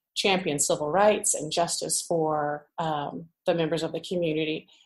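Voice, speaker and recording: An ordinary speaking voice with an American accent is heard here. The pace is fairly slow. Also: woman. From US Midwest, central Illinois. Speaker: pastor's wife. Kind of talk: interview conversation.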